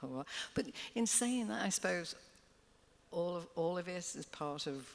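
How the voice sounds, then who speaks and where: The speaker talks at a moderate pace in a Liverpool accent. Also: woman. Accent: Scouse. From Liverpool, England. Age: 70s. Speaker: singer. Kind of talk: live interview. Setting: stage with audience.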